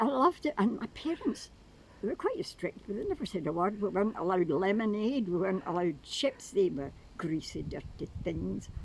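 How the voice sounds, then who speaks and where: A woman talks at a fairly quick pace, her medium pitch swinging very widely. Noticeable background noise runs under her voice. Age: 80s+. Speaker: retired nurse. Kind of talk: interview answer.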